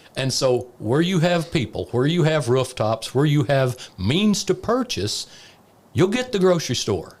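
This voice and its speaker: A man with a fairly high, somewhat breathy voice talks at a fairly slow pace, his pitch swinging very widely while his loudness stays very even. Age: 60s. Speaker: former economic development director. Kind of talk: casual chat.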